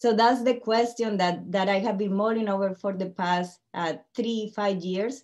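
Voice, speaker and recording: A woman talks with a Colombian accent. Her pitch is medium and her pace moderate. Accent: Colombian Spanish accent, still noticeable. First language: Spanish. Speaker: tech company CEO and panel speaker. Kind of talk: webinar presentation. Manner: speeds up when excited.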